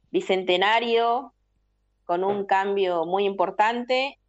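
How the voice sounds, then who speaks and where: A woman talks in a normal speaking voice at medium pitch. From Peru, Trujillo (La Libertad). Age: 40s. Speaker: political activist. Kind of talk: interview.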